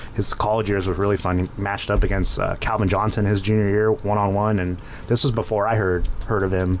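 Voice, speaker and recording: With an American accent, a man speaks in a fairly low, flat monotone at very even loudness over noticeable background noise. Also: fairly quick pace. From Inland Empire, Southern California. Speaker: former high school football player and coach. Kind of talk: casual chat. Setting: studio.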